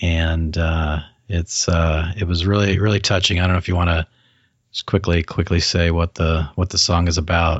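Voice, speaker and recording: A man speaks at a moderate pace in a very deep, low, somewhat breathy voice. His intonation is monotone and flat, and his loudness stays very even. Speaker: podcast host. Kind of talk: casual interview. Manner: chatty, joking.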